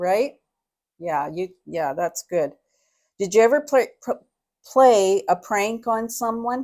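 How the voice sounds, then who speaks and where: Speaking at a very slow pace with long, frequent pauses, a woman with a fairly high pitch uses lively intonation on a very clean recording with a silent background. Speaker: interviewer. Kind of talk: interview questions.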